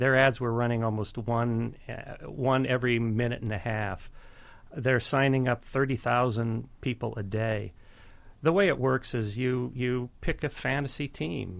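Here a man uses an ordinary speaking voice at a medium pitch, with ordinary pitch variation. He talks at a moderate pace on a very clean recording with a silent background. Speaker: investigative journalist. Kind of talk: radio interview.

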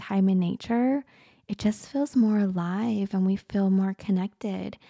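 In a very clean recording with a silent background, a woman with a normal speaking voice talks at a medium pitch and fairly slow pace, her intonation fairly even. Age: 40s. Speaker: spiritual healer and podcast host. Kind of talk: casual podcast monologue.

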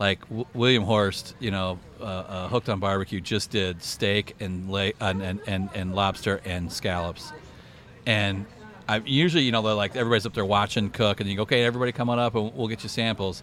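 Speaking at a moderate pace, a man with a normal speaking voice keeps a fairly low pitch and ordinary pitch variation. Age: 50s. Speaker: barbecue social media creator. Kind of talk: casual chat. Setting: outdoors at a barbecue event.

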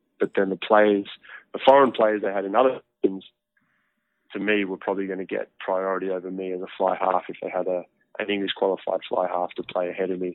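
A man talks at a fairly quick pace in a very deep, low voice, with long, frequent pauses. His intonation is monotone and flat. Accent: Australian. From Australia, near Canberra. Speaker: professional rugby player. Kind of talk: interview.

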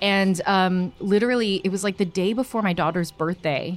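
A woman talks at a fairly slow pace, her pitch moving with ordinary variation. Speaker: comedian and puppeteer. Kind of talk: casual interview chat.

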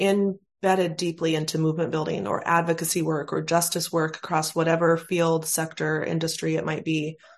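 With an unremarkable speaking voice, a woman talks fairly low in pitch at a moderate speed. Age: 40s. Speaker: podcast host. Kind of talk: casual interview chat; scripted outro.

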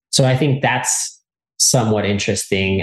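Against a quiet background, a man talks in a somewhat breathy voice. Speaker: mushroom expert. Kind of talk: interview.

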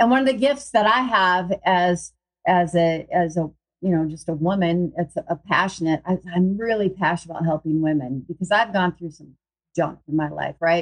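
In a dry, close recording with no echo, a woman with an unremarkable speaking voice talks at a moderate pace, her fairly low pitch showing ordinary variation. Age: 50s. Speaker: wellness group leader and podcast host. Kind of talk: casual live video talk to group members.

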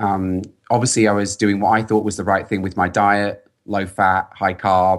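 A man with a London accent at a moderate pace, monotone and flat in intonation, in a very clean recording with a silent background. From England, London. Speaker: software engineer and pro cyclist. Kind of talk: podcast interview.

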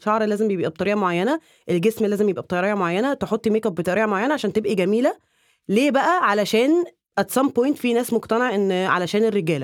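A woman with fairly high pitch speaks at a very fast pace, her intonation lively and her loudness very even. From Egypt. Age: 20s. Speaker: content creator, former dentist. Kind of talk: casual chat.

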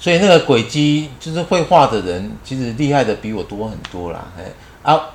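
A man with a Taiwanese accent talks at a medium pitch and a moderate pace, his pitch swinging very widely and his loudness shifting in big swings. Noticeable background noise runs under the recording. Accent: Taiwanese Mandarin. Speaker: retired teacher and running group leader. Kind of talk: casual interview chat.

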